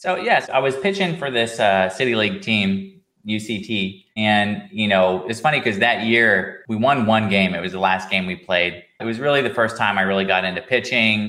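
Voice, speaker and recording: With an American accent, a man speaks in a normal speaking voice, fairly low in pitch, at a moderate pace with ordinary pitch variation and hardly any pauses. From Manhattan, Kansas, US Midwest. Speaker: health tech founder and MRI scientist. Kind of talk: interview conversation.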